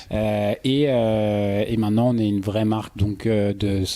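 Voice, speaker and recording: A man speaks fairly slowly in a fairly low, dark and mellow voice. His intonation stays monotone and flat. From Paris suburbs, France. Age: 30s. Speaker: entrepreneur. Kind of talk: podcast interview. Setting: at guest's home. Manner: hesitant, many fillers.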